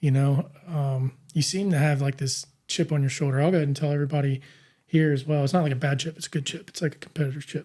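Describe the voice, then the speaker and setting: Speaking very fast, a man uses a fairly high pitch with a dark, mellow tone and a somewhat breathy quality. His intonation stays monotone and flat on a very clean recording with a silent background. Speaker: podcast host. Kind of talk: interview conversation. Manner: frequent filler words, hesitant.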